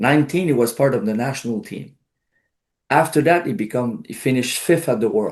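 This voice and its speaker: In a Quebec accent, a man speaks at a medium pitch and a fairly quick pace. His intonation is lively, and the background is quiet. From Quebec, Outaouais region. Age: 60s. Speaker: karate instructor. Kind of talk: interview.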